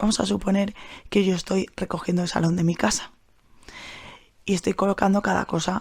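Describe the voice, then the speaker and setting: Quiet and somewhat breathy, a woman speaks at medium pitch with monotone, flat intonation. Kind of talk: solo podcast monologue. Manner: speaking quietly; hesitant, repeats words.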